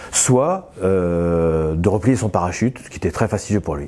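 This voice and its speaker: This man's voice has a dark, mellow tone. Its pitch varies in an ordinary way. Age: 60s. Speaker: business owner. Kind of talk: interview. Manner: hesitant, frequent filler sounds.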